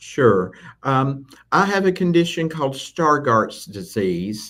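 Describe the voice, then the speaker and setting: A man speaks very slowly in a Southern US accent. His fairly high voice makes very wide pitch swings. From Tennessee, US South. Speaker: assistive technology instructor. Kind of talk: live interview.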